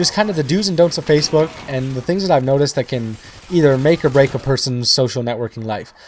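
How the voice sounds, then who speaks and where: A man races along at a very fast pace with noticeable background noise behind him. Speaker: gaming YouTuber. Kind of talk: gameplay commentary.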